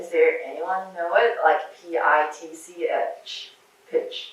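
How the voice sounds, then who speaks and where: A woman with a Chinese accent, amid noticeable background noise and audible room echo. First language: Mandarin Chinese. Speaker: surgeon and researcher giving a talk to medical students. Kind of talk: lecture.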